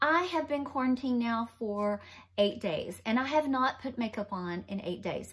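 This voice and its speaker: A woman at a moderate pace with lively intonation. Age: 50s. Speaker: makeup vlogger. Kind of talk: casual talk to camera. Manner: chatty.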